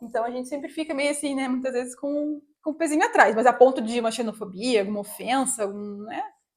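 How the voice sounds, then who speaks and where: A woman speaks very fast in a high voice, with hardly any pauses. Her pitch rises and falls in an ordinary way. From Brazil, Curitiba (Paraná). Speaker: vlogger. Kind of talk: casual chat.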